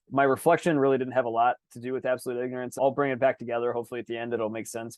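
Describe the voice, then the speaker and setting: Energetic in tone, a man speaks at a very fast pace. His pitch sits in the medium range. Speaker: podcast co-host. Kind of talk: casual chat.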